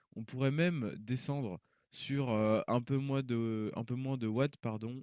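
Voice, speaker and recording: In a very clean recording with a silent background, a man speaks at a fairly slow pace and medium pitch, with ordinary pitch variation and a dry, close sound with no echo. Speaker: tech YouTuber, PC hardware reviewer. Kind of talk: tutorial. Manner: hesitant, many fillers.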